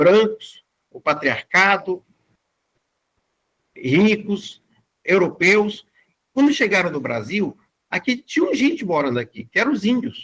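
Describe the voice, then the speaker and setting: Speaking at a very slow pace with long, frequent pauses, a man uses a high pitch with very wide swings, in a dry, close sound with no echo. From Brazil, Fortaleza (Ceará). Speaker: community bank founder, guest lecturer. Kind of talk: lecture.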